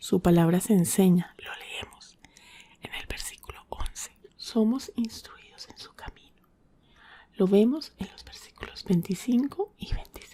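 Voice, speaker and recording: The speaker whispers, soft-spoken and somewhat breathy. The pace is fairly slow. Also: woman. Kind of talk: ASMR Bible devotional. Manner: soft-spoken, whispered.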